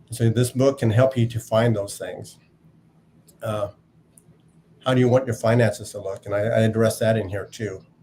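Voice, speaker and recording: Dark, mellow and somewhat breathy, a man's voice moves at a moderate pace. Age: 60s. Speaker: navy veteran and author. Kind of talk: interview.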